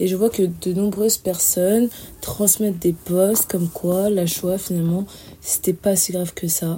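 A woman speaks at a fairly slow pace in a dark, mellow tone that is somewhat breathy, her intonation monotone and flat. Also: medium pitch for a woman. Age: 20s. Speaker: student. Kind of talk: testimony.

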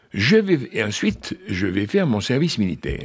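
Vocal fry colors a man's speech, and his pitch swings very widely. He speaks at a fairly slow pace. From Algeria (French pied-noir). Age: 80s+. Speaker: author. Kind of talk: radio interview.

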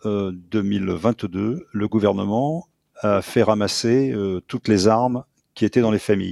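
A man speaks at a very slow pace in a fairly low pitch. His pitch variation is ordinary. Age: 70s. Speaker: former military intelligence specialist and author. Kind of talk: radio interview. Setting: remote link into radio studio.

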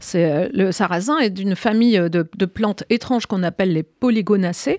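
An unremarkable speaking voice from a woman at a medium pitch, moderate pace and lively intonation, dry and close with no echo on a very clean recording with a silent background. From Brittany, France. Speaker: cookbook author. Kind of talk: radio interview.

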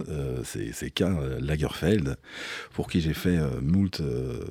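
This man's voice sits very deep and low. There is vocal fry in it. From Belgium, Liège region. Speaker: DJ. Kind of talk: interview. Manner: hesitant, many repetitions.

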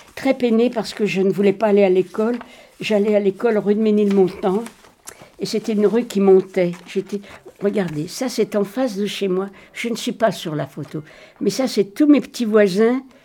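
A woman's medium-pitched voice moves at a moderate pace with ordinary pitch variation while noticeable background noise plays underneath. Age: 80s+. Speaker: Holocaust survivor witness. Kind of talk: testimony.

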